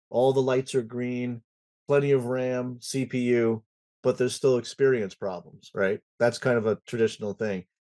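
A dark, mellow tone carries fairly even intonation at a moderate pace. The background is quiet. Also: man. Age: 60s. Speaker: IT consultancy president and conference founder; podcast guest. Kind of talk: casual interview chat. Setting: home music studio. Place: home room. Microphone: webcam.

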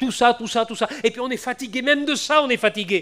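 A man talks with ordinary pitch variation. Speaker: preacher. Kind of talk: evangelical sermon, Bible exposition turning into prayer. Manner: repetitive, emotional, moving to a pleading prayer.

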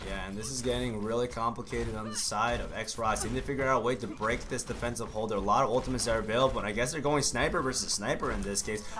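A man talks at a very fast pace with hardly any pauses. His pitch is medium, and noticeable background noise is present. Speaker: esports caster. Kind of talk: esports match commentary. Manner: excitable, fast play-by-play with sudden exclamations.

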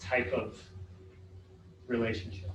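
Noticeable background noise and audible room echo surround this recording. A man talks at a moderate pace. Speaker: school facilities consultant. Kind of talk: board work session discussion. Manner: halting, many repeated words.

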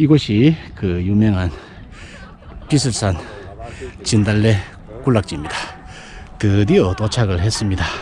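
A man's fairly low voice at a fairly slow pace, with lively intonation, long and frequent pauses, a dry sound with no echo and noticeable background noise. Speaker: real estate YouTuber. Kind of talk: hiking vlog narration. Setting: outdoors. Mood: pleased, admiring. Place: open country. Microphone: phone near.

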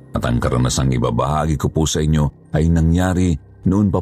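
Over background music, a man with a very deep, low pitch speaks at a moderate pace with ordinary pitch variation. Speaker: horror story narrator. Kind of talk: scripted narration.

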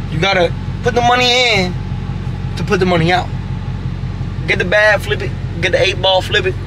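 Speaking at a fairly quick pace with ordinary pitch variation, a man leaves long, frequent pauses over noticeable background noise. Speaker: car vlogger. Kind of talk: casual vlog. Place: car. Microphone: phone near.

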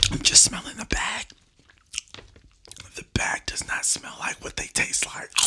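Long, frequent pauses break up a man's fairly slow speech. Noticeable background noise runs underneath. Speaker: ASMR eating / mukbang creator. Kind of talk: casual talk to camera while eating (ASMR mukbang). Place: home room. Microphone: studio mic.

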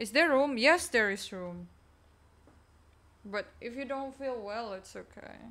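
This woman has a fairly high pitch, a bright, sharp tone and lively intonation, talking at a fairly slow pace. Her loudness swings widely, and she leaves long, frequent pauses. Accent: non-native. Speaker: streamer. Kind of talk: casual chat. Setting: live stream.

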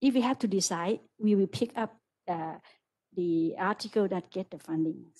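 A woman talks at a moderate pace with ordinary pitch variation and a dark, mellow tone. Her pauses are long and frequent. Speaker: university lecturer. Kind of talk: discussion remarks after lecture. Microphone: video call.

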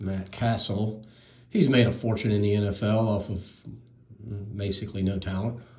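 Somewhat breathy and dark, mellow in tone, a man speaks monotone and flat at a fairly slow pace, with audible room echo and a quiet background. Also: fairly low pitch for a man. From North Carolina (Charlotte). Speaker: card collector YouTuber. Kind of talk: box break commentary. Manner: casual. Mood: relaxed, mildly amused. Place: home room. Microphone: phone near.

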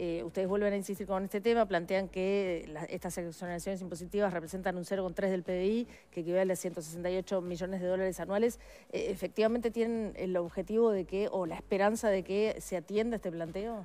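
At a fairly quick pace, a woman speaks with hardly any pauses and a medium pitch. Her tone is dark and mellow, her intonation fairly even. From Uruguay. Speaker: radio host. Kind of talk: interview. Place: studio.

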